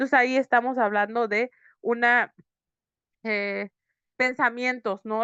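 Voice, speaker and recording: A woman recorded dry and close with no echo, against a quiet background. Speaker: psychotherapist teaching workshop. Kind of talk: online lecture. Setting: online video session. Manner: fast.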